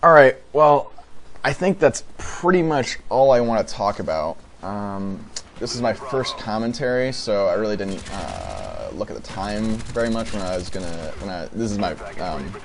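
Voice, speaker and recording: A man at medium pitch speaks at a moderate pace with very wide pitch swings over noticeable background noise. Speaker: gaming YouTuber. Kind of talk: gameplay commentary. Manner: halting, many fillers; casual.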